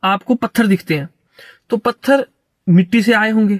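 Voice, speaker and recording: A man talks with a high pitch and ordinary pitch variation. The sound is dry and close, with no echo. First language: not Hindi, stronger in English and Sanskrit (speaking Hindi). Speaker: philosophy commentator. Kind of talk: lecture. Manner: halting.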